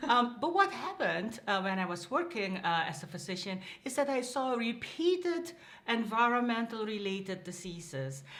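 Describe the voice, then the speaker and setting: A woman with a Dutch accent speaks at a fairly high pitch and a moderate pace, her pitch swinging very widely amid audible room echo. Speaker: public health dean. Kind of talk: interview.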